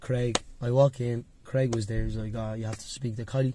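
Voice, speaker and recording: In a Dublin accent, a man with a medium pitch and a dark, mellow, somewhat breathy tone talks at a fairly quick pace with fairly even intonation. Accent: Dublin Irish. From Dublin, Ireland. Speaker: MMA fighter. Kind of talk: casual chat.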